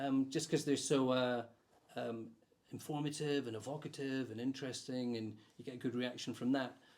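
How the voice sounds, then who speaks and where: In a Scottish accent, a man talks at a moderate pace with a medium pitch and a flat, monotone intonation. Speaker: podcast host. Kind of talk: interviewer questions.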